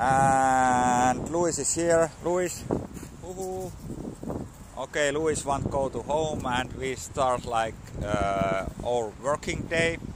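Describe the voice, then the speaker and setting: Over noticeable background noise in a dry recording with no echo, a man with a Finnish accent speaks at a very slow pace with lively intonation and long, frequent pauses. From Finland. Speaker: vlogger learning English. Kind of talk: casual vlog monologue. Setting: outdoors at a dog park. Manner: halting, many fillers and repetitions. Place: street. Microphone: phone near.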